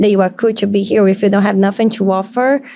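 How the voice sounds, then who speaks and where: A woman with a non-native accent, medium pitch, and a very fast pace. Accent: foreign. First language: not English. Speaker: model and podcast guest. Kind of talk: casual chat. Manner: halting.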